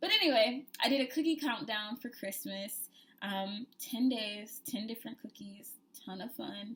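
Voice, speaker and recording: A woman has an ordinary speaking voice with a fairly high pitch and lively intonation. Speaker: cooking vlogger. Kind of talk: casual vlog chat.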